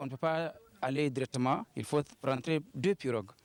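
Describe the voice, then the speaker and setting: A man speaks with a fairly high pitch and ordinary pitch variation. His pace is moderate. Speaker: villager interviewed. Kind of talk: news interview. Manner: halting.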